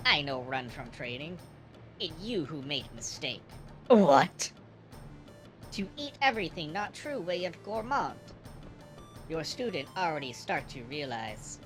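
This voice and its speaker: Clear music plays behind a put-on character voice at middle pitch, delivered at a fairly slow pace with long, frequent pauses. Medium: game stream. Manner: broken English, slow and sage.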